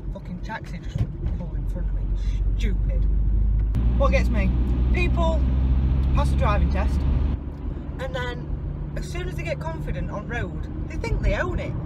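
A woman talks with long, frequent pauses over loud background noise, the sound dry with no echo. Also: moderate pace. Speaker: vlogger. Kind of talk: casual vlog chat. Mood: annoyed, ranting. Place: car. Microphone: phone near.

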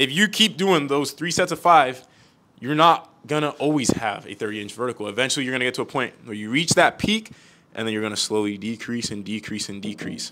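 A man talks at a fairly quick pace. His tone is bright and sharp, with big swings in loudness. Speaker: jump coach host. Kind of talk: explanatory talk to camera. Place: gym.

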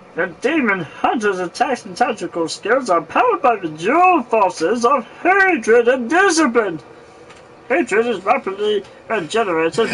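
In a put-on character voice, a man speaks at an extremely high pitch with very wide pitch swings and a theatrical tone. He keeps a moderate pace, and clear background noise can be heard. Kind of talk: comic overacting. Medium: game stream. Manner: theatrical, boastful.

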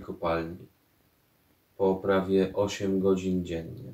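A man speaks in a very deep, low pitch with a dark, mellow tone. His intonation is monotone and flat, and the room echo is audible. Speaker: poet. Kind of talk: poetry reading. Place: home room.

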